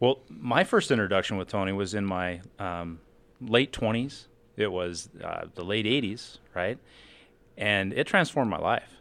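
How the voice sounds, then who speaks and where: An ordinary speaking voice from a man, fairly low in pitch, at a fairly slow pace with ordinary pitch variation, on a very clean recording with a silent background. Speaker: financial advisor. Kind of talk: casual chat. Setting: studio.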